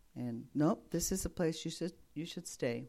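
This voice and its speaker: A woman with a dark, mellow tone and vocal fry speaks at a moderate pace, her pitch swinging very widely. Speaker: retired missionary. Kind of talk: testimony.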